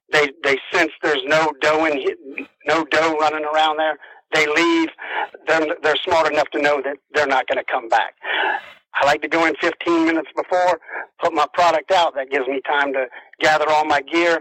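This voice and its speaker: Speaking at a moderate pace in a South Carolina accent, a man keeps a fairly high pitch and a monotone, flat intonation. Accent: Southern US (South Carolina). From US South, South Carolina low country. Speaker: deer and turkey hunter. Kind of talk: interview. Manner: casual, some stammering.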